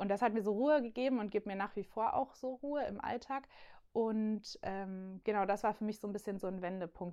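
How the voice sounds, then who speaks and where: With a plain, everyday voice at medium pitch, a woman speaks at a moderate pace and fairly even intonation over a quiet background. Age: 20s. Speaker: youth church worker. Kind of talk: casual chat.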